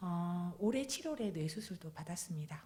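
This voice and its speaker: The voice is somewhat breathy, with very wide pitch swings. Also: woman. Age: 40s. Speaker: guest preacher, cancer patient giving testimony. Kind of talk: testimony. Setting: church with congregation.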